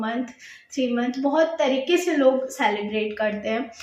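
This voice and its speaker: A woman's high-pitched voice is heard with audible room echo. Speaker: YouTuber sharing pregnancy experience. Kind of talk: casual vlog talk. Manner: hesitant with filler sounds.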